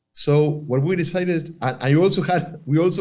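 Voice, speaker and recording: Speaking in an Argentine accent, a man uses a fairly high pitch with ordinary pitch variation. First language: Spanish. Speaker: filmmaker. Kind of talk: interview. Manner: halting, many fillers and restarts.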